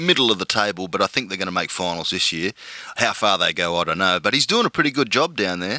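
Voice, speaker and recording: A man with an Australian accent has a bright, sharp tone in a dry, close sound with no echo. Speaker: podcast host. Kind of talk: casual interview chat. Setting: podcast interview.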